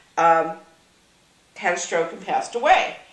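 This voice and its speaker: A woman is speaking with audible room echo. Noticeable background noise is present as well. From Massachusetts, US. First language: Yiddish. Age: old. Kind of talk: interview.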